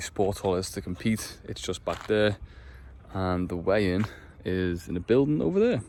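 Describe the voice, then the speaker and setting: This speaker is a man with an English accent. He talks at a fairly slow pace. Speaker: amateur powerlifter vlogger. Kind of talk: casual vlog. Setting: outdoors.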